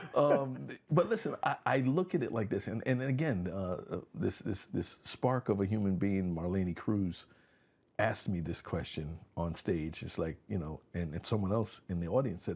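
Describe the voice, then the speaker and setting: Lively intonation marks this man's fairly low-pitched voice, delivered at a moderate pace. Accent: American. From Connecticut, West Haven. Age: 60s. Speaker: community organization founder, former law enforcement. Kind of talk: casual interview chat. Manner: animated.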